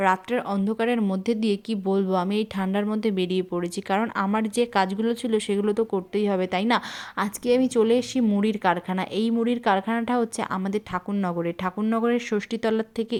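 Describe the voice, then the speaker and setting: A woman speaks at a medium pitch with monotone, flat intonation. Her loudness stays very even. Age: 20s. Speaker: vlogger. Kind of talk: casual vlog talk to camera.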